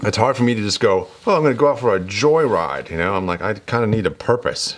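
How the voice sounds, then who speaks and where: A man with a fairly low pitch and lively intonation speaks at a fairly quick pace against noticeable background noise. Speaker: DIY motorcycle vlogger. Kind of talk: casual workshop vlog monologue. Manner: hesitant, many fillers.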